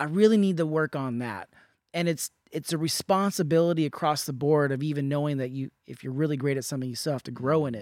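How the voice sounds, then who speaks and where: On a very clean recording with a silent background, a man speaks very fast in a fairly high voice with ordinary pitch variation, the sound dry and close with no echo. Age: 30s. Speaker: podcast host and artist. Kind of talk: interview conversation; scripted intro.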